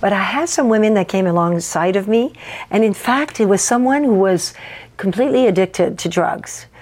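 A woman of medium pitch talks at a moderate pace with lively intonation and very even loudness, with noticeable background noise behind her. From French Canada. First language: French. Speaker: pastor. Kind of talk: casual interview chat.

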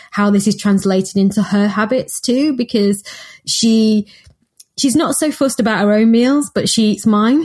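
Speaking at a fairly slow pace with a Mancunian accent, a woman has a somewhat breathy, dark and mellow tone and ordinary pitch variation, captured in a very clean recording with a silent background. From Manchester, northern England. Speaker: nutritionist and co-author. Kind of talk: casual chat.

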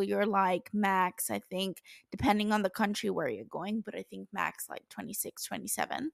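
A woman at a medium pitch and moderate pace, the sound dry and close with no echo. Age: 20s. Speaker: podcast host. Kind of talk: solo podcast monologue. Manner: animated.

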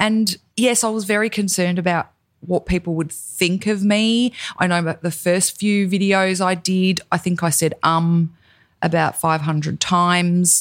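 A woman with an Australian accent speaks at a fairly slow pace with fairly even intonation. Her loudness stays very even, and the recording is very clean with a silent background. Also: medium pitch for a woman. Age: 40s. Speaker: podcast host and cosmetics founder. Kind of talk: casual chat.

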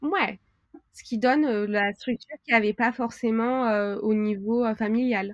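In a dry, close sound with no echo, a woman speaks fairly slowly at a fairly high pitch, her intonation fairly even but her loudness swinging widely. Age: 30s. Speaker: tutoring agency owner. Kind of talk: interview. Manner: hesitant, many fillers.

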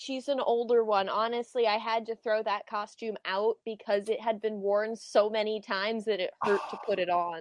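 Her voice fairly high, a woman speaks at a moderate pace with hardly any pauses and fairly even intonation in an ordinary speaking voice. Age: 20s. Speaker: cosplayer. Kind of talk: casual chat.

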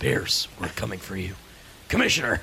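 Clear background noise behind a man doing a put-on character voice at a moderate pace.

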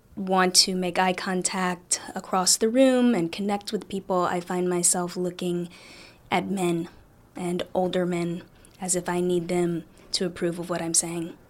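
This woman has a plain, everyday voice at a medium pitch and fairly even intonation, speaking at a fairly slow pace. The recording is very clean, with a silent background. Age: 30s. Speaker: priest. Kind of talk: interview.

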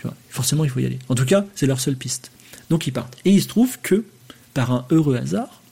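With lively intonation, a man rattles along at a very fast pace. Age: 40s. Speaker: podcast host. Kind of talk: live stream monologue. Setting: live on Twitch. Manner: hesitant, many fillers.

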